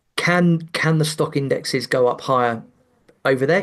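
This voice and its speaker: A man with a British accent. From England. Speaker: investment commentator. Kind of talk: podcast interview. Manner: halting, repeated words.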